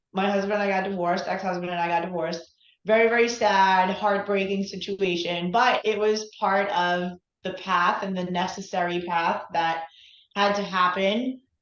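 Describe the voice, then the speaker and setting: With an unremarkable speaking voice, a woman talks at a moderate pace, her medium pitch carrying fairly even intonation. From New York. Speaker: relationship coach. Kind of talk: interview.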